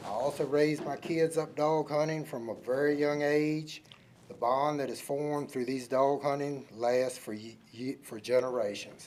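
In a Virginia accent, a man talks at a moderate pace and a fairly high pitch, with fairly even intonation and big swings in loudness. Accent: Southern US, rural Virginia. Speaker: public commenter, hunter. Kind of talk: prepared public comment. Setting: county board meeting room.

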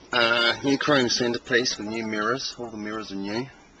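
A man with a fairly low pitch and fairly even intonation at a moderate pace, dry sound with no echo, and noticeable background noise. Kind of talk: casual walkaround commentary. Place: street.

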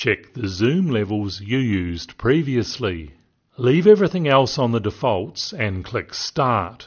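With a slightly husky edge, a man speaks slowly at a medium pitch with big pitch swings.

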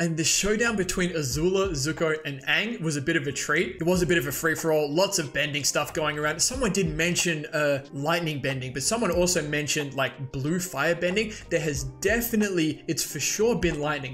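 A man talking at a fairly quick pace with hardly any pauses and ordinary pitch variation, over light background noise. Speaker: video creator. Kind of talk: casual episode reaction commentary. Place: home room. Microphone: studio mic.

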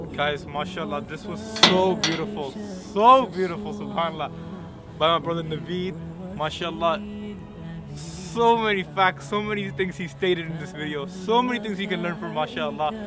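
Over clear background music, a man with a high pitch speaks in a dry sound with no echo, with long, frequent pauses and big swings in loudness. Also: ordinary pitch variation, moderate pace. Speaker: reaction vlogger. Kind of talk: casual reaction talk to camera. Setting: outdoors. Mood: moved, enthusiastic praise. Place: open country.

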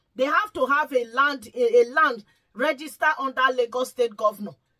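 Raised and projected, a woman's high voice carries a bright, sharp tone at a moderate pace. Pitch varies in an ordinary way over a quiet background. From Nigeria. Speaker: YouTube vlogger; commentator vlogger. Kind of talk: vlog commentary. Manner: pleading. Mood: pleading, emotional. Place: home room.

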